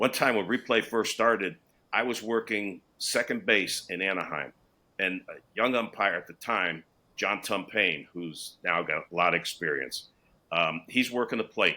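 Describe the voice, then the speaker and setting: A man's fairly low voice with a bright, sharp tone, moderate pace, and a very clean recording over a silent background. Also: ordinary pitch variation. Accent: American. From Connecticut. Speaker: retired baseball umpire. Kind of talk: interview storytelling.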